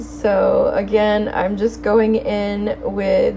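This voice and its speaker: A woman talks very slowly, with noticeable noise in the background. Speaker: bullet journaling youtuber. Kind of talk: casual tutorial voice-over. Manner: casual, hesitant with fillers.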